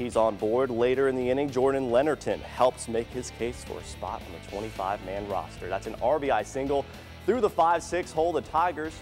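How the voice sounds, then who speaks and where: A man at a fairly quick pace with lively intonation, music in the background. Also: medium pitch for a man. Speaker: sports anchor. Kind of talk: local TV sports news anchor read.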